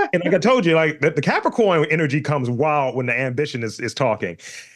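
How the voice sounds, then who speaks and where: With an ordinary speaking voice, a man speaks fairly quickly at a fairly high pitch. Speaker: podcast host. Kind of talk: casual podcast interview talk.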